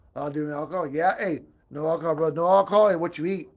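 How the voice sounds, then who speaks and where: A man with a high-pitched voice at a very fast pace. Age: 40s. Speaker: barbecue cooking livestreamer. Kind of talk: casual livestream chat while grilling. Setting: outdoors at a grill. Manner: repetitive, stammering restarts; casual, energetic.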